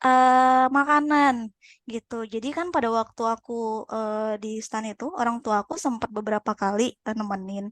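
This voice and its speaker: A woman with a fairly high pitch, ordinary pitch variation and a fairly slow pace, in a dry, close sound with no echo against a quiet background. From Sumatra, Pekanbaru (Riau). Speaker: podcast guest. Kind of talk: casual chat. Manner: halting, many fillers.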